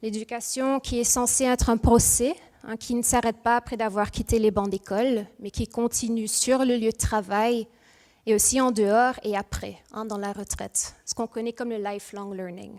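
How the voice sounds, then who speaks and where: A woman speaks with a Mauritian accent at a fairly high pitch and a fairly slow pace. Her intonation stays fairly even, and the sound is dry and close with no echo. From Mauritius, moved to Ghent, Belgium at 3-4. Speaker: industrial psychologist, speaker. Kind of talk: conference talk. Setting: stage with audience. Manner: hesitant, with fillers.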